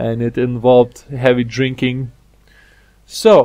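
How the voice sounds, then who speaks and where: A man with a non-native accent speaks at a medium pitch in a dark, mellow tone. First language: not English. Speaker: gaming video creator. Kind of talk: gameplay commentary. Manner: halting.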